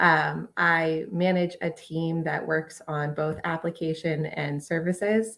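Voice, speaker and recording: A woman with an American accent speaks very slowly, in a fairly low pitch with fairly even intonation and hardly any pauses. The recording is very clean, with a silent background. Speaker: software engineering manager, panelist. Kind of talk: panel discussion.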